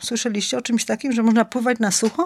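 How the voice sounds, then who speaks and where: A woman is heard on a very clean recording with a silent background, the sound dry and close with no echo. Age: 50s. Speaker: winter swimmer and image consultant. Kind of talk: casual chat. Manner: animated.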